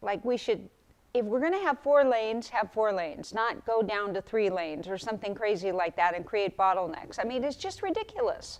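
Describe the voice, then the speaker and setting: A woman talks at a fairly quick pace with a fairly high pitch. Her intonation is lively. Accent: American. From California. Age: 60s. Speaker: political campaign volunteer. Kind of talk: interview testimony.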